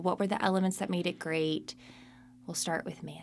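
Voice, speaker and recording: A woman with an ordinary speaking voice talks at a fairly quick pace and with fairly even intonation. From Charlotte, North Carolina. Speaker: podcast co-host. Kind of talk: casual chat. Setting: studio.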